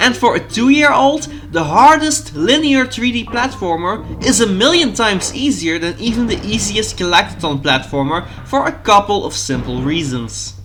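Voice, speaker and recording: A man with a Dutch accent speaks at a moderate pace, high in pitch with very wide pitch swings. There is noticeable background noise. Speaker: gaming YouTuber. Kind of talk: video essay narration.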